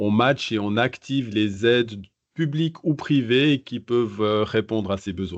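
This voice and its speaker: A man with a Swiss accent speaks at a fairly slow pace. His pitch is medium, with ordinary variation. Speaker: innovation advisor. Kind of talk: podcast interview. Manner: hesitant, many fillers.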